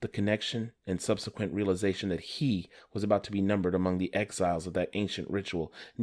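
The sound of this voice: The reading is unforced. It is an unforced reading voice.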